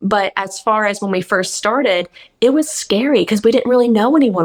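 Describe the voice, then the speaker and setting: A woman's fairly quick speech with ordinary pitch variation. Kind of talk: radio interview. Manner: fast.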